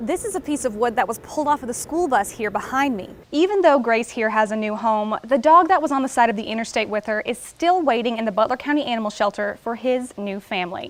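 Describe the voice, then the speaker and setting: A woman talks at a fairly quick pace and fairly high pitch with lively intonation. Noticeable background noise is present. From Tennessee. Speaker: TV news reporter. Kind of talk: TV news stand-ups.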